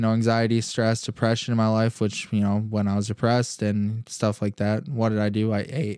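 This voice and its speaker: A man with an American accent has an unremarkable speaking voice at a medium pitch and a moderate pace. The recording is very clean, with a silent background. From Michigan (Holland). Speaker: podcast host, entrepreneur. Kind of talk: personal story monologue. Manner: casual, many fillers.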